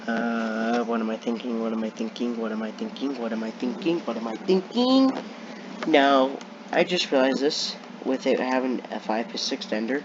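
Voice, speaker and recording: The speech moves at a moderate pace with ordinary pitch variation against noticeable background noise. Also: man. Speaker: gaming youtuber. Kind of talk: gameplay commentary.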